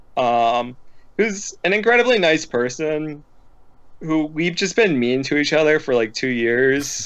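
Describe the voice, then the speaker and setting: In a plain, everyday voice, a man speaks at a fairly slow pace with a fairly high pitch, lively intonation and very even loudness. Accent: American. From Philadelphia area, US. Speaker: card game player. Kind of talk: casual chat. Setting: live stream.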